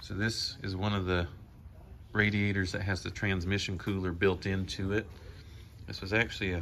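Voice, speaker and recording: A man's voice sits very deep and low, flat and monotone. Light background noise runs underneath. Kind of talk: tutorial. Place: garage.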